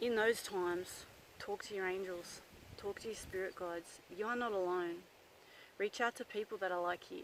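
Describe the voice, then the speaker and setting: In an Australian accent, a woman speaks at a moderate pace and medium pitch with fairly even intonation. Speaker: psychic medium. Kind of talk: casual vlog talk. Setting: outdoors in the bush. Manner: loud; hesitant, many fillers.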